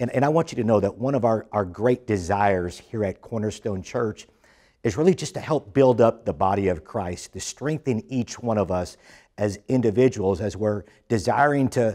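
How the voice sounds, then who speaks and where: Against a quiet background, a man with a dark, mellow tone and fairly low pitch speaks at a moderate pace with ordinary pitch variation. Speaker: church pastor. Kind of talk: sermon welcome address.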